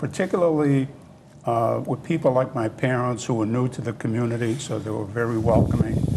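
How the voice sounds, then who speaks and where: At a moderate pace, a man speaks at medium pitch with ordinary pitch variation and noticeable background noise. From Italy, Abruzzo; grew up in Massachusetts. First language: Italian (Abruzzese dialect). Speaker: interview guest, former grocery worker. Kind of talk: interview reminiscence. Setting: TV studio. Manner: halting, many fillers.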